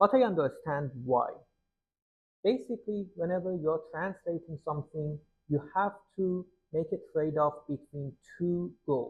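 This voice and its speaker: A man with a Persian accent, fairly high in pitch, at a fairly slow pace with long, frequent pauses. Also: ordinary pitch variation. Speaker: poetry translator and explainer. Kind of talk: tutorial.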